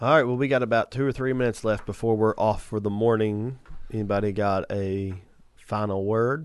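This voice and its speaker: Quiet surroundings and a man's voice pitched fairly low. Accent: Southern US. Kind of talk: casual morning radio talk. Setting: studio. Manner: animated, preachy enthusiasm.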